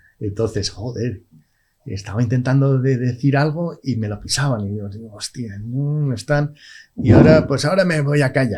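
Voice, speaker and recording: Somewhat breathy, a man's voice sits at a medium pitch with ordinary variation. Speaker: stroke survivor with aphasia. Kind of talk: podcast interview. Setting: studio. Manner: slow; halting, repeats words.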